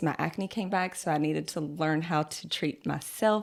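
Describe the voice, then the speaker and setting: On a very clean recording with a silent background, a woman talks with a Southern US accent. She has a fairly low pitch, ordinary pitch variation and a moderate pace. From US South, North Carolina. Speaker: esthetician. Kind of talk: casual interview.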